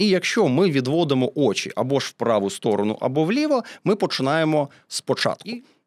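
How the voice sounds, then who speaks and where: Speaking at a fairly quick clip, a man with a fairly high voice swings his pitch very widely, heard in a dry, close sound with no echo. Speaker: voice and diction coach, event host. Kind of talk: interview.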